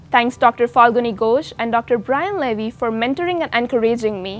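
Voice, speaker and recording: Over music in the background, a woman speaks fairly quickly in a high voice with lively intonation. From India. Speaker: valedictorian, graduating college student. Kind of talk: commencement speech. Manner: formal.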